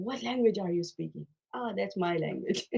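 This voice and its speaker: A woman with a Punjabi accent speaks at a moderate pace in a medium pitch, her tone dark and mellow. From Pakistan, central Punjab. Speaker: life coach. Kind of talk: casual chat.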